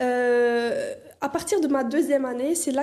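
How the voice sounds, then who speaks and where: A dark, mellow tone comes through with audible room echo. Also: woman. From Canada. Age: 20s. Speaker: dental student and content creator. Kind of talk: interview. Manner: hesitant, many fillers.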